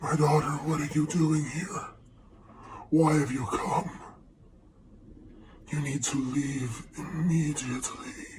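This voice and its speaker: A man speaks in a put-on character voice, leaving long, frequent pauses. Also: fairly high pitch for a man, fairly slow pace. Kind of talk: archaic formal speech. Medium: actual play. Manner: solemn, formal, fatherly.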